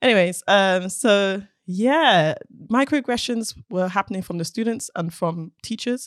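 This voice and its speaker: A woman with a London accent speaks at a fairly slow pace in a medium pitch, her intonation lively, on a very clean recording with a silent background and a dry, close sound with no echo. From South London, England. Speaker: robotics engineer. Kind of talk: casual chat. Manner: animated.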